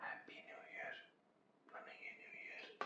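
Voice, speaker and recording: A whisper against noticeable background noise. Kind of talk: whispered ASMR vlog, casual talk to camera. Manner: whispered, soft.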